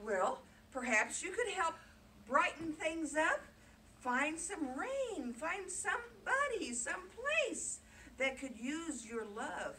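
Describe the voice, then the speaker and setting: A woman puts on a squeaky character voice at an extremely high pitch. She speaks very slowly, with very wide pitch swings. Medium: read story. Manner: soft, warm.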